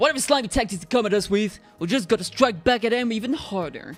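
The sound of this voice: A man talks very fast in a high pitch with lively intonation. Music sounds in the background.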